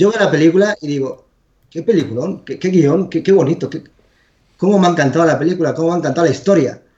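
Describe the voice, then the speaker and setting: A man's high voice at a very fast pace. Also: ordinary pitch variation. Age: 40s. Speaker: video game developer. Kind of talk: casual chat.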